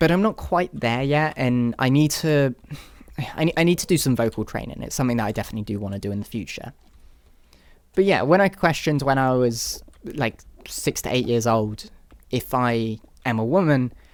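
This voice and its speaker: The speaker talks at a fairly quick pace with a British accent. Long pauses come often. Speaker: YouTuber. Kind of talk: personal testimony. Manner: halting.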